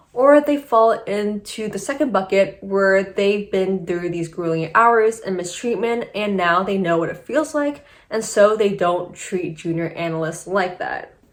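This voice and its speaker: Using an unremarkable speaking voice, a woman talks at a fairly slow pace and medium pitch, with lively intonation and hardly any pauses. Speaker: YouTuber, former investment banker. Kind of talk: casual video commentary.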